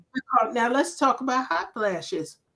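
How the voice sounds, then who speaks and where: A woman speaks at a moderate pace in a high pitch. Music plays in the background. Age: 60s. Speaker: menopause lifestyle health practitioner. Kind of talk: interview chat. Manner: animated.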